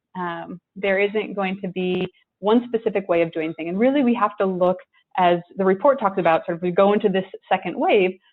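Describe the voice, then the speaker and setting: A woman talks fairly quickly at medium pitch, with ordinary pitch variation. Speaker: tech company executive. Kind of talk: panel presentation. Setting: online discussion from home.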